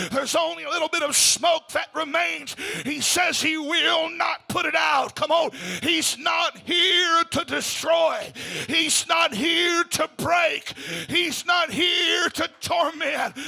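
Shouting at an extremely high pitch, a man speaks very slowly in a flat monotone, his loudness very even, over noticeable background noise. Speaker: preacher. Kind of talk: sermon. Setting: church. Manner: urgent, fervent, exhorting.

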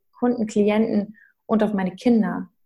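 This woman's medium-pitched voice is somewhat breathy, with a dark, mellow tone and fairly even intonation. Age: 30s. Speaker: mindset coach and mother. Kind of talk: interview.

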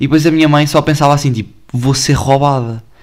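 With a European Portuguese accent, a man speaks at a fairly high pitch. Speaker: podcaster. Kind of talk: casual chat. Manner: animated.

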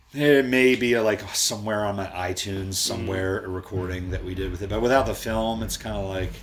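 A man with an American accent, fairly low in pitch, talking at a very fast pace with hardly any pauses and ordinary pitch variation, amid audible room echo and noticeable background noise. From Baltimore, Maryland, US. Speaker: musician. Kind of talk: casual chat.

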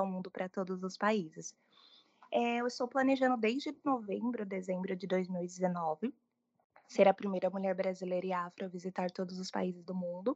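A woman's plain, everyday voice, a plain, everyday voice at a medium pitch, with ordinary pitch variation, a moderate pace, a quiet background and a dry, close sound with no echo. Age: 20s. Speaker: journalist and travel content creator. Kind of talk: interview.

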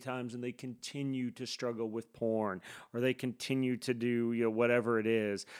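A man's unremarkable speaking voice, medium in pitch and at a fairly quick pace. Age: 50s. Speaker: campus ministry pastor. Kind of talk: casual chat. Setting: video call.

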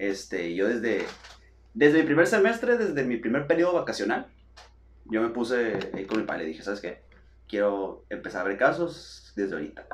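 Medium-pitched male voice with very wide pitch swings, a fairly quick pace and audible room echo. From Mexico, Sonora (Hermosillo). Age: 20s. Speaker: physiotherapist. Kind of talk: casual chat.

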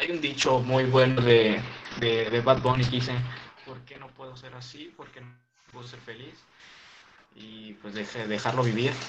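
With noticeable background noise and audible room echo, a man speaks at a fairly slow pace in a monotone with flat intonation, taking long, frequent pauses. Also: medium pitch for a man, big swings in loudness. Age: 20s. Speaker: youtuber. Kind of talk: casual chat. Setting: video call.

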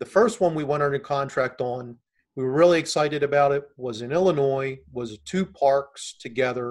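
This man has an ordinary speaking voice, fairly high in pitch, with ordinary pitch variation at a moderate pace. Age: 50s. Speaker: real estate investor, military retiree. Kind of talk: interview.

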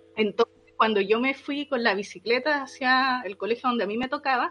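A woman with a high pitch and a Chilean accent. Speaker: podcast co-host. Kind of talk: casual chat.

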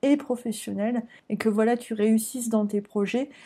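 Her tone dark and mellow, a woman speaks fairly slowly with fairly even intonation. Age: 20s. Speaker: podcast host and career coach in training. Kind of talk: interview.

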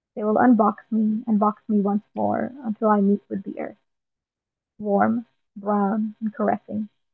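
In an Irish accent, a woman with a fairly high pitch speaks at a fairly slow pace with monotone, flat intonation. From Ireland. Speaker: poet. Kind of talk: casual interview with poetry readings.

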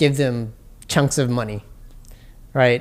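Captured on a very clean recording with a silent background, a man speaks with a New York accent. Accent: New York City English. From Jamaica, Queens, New York City. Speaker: entrepreneur and immigrant rights advocate. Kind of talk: casual interview. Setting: on location in Chinatown.

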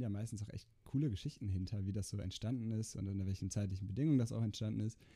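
Pitched fairly low, a man's dark, mellow voice races along very fast with fairly even intonation. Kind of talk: casual chat.

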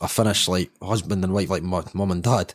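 A man with a Scottish accent, fairly low-pitched and fairly quick, in a very clean recording with a silent background and a dry, close sound with no echo. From Scotland. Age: 30s. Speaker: football fan sharing life story. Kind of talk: casual interview chat.

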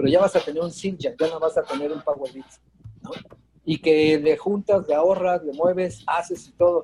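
This man holds a moderate pace, his high pitch shifting with ordinary variation. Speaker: drummer and music teacher. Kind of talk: casual chat.

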